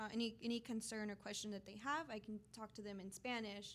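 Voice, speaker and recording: A woman with an American accent talks at a fairly quick pace in a fairly high pitch, her intonation fairly even. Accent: Texan American English, Mexican American. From Houston, Texas. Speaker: company representative. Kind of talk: interview. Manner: hesitant with fillers.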